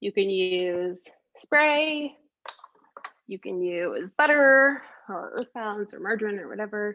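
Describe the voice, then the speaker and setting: This woman's voice sits at a fairly high pitch. Her pitch swings very widely. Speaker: baking instructor. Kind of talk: online cooking class tutorial. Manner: casual, chatty.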